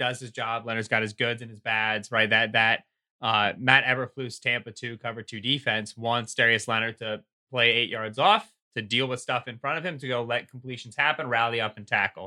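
An ordinary speaking voice from a man, medium in pitch, with fairly even intonation and a moderate pace. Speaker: football analyst. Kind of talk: casual chat.

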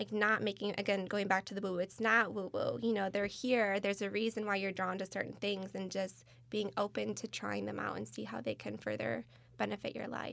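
A woman with an American accent at a fairly quick pace, on a very clean recording with a silent background. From Michigan, US Midwest. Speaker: crystal company employee. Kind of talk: casual chat.

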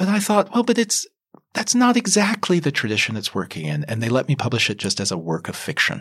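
A man with an American accent talks very fast at a fairly high pitch, with very wide pitch swings and vocal fry. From US South, Kentucky. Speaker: novelist. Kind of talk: interview.

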